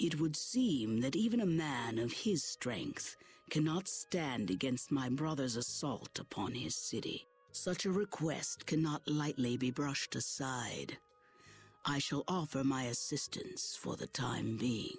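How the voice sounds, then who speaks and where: A put-on character voice at low-to-middle pitch moves at a fairly slow pace over music in the background. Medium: video game. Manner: formal, stately.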